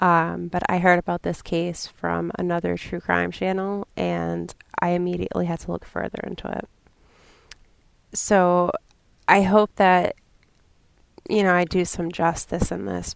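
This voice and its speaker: A fairly slow delivery in a New England accent with long, frequent pauses, dry and close with no echo, on a very clean recording with a silent background. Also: woman. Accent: New England, self-described as terrible. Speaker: true crime podcaster. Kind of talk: podcast narration.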